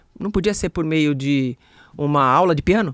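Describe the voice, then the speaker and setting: The speech moves at a moderate speed. The background is silent on this very clean recording. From Brazil, ABC region of São Paulo. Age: 60s. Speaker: sales speaker and expert. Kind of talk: podcast interview.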